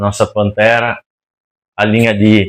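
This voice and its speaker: A man speaks with a strong Rio Grande do Sul accent. The sound is dry and close with no echo, on a very clean recording with a silent background. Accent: strong gaúcho accent, strong R. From Rio Grande do Sul, Brazil. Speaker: interior designer. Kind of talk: podcast interview.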